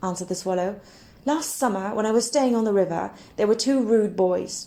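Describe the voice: This is plain reading aloud. Nothing more marks the delivery.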